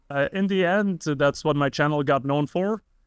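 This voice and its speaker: With an Arabic accent, a man speaks at a moderate pace in dry, close sound with no echo and a quiet background. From Lebanon. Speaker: YouTuber and video editor. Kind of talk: casual podcast chat.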